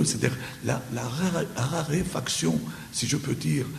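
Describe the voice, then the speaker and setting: Audible room echo and noticeable background noise around a male voice. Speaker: publisher and speaker. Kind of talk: conference Q&A answer. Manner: halting, many repetitions and hesitations.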